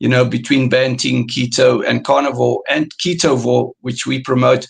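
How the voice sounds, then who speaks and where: This man has a South African accent. He speaks at a moderate pace. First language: Afrikaans. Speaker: carnivore diet coach. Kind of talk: interview. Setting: live stream. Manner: halting.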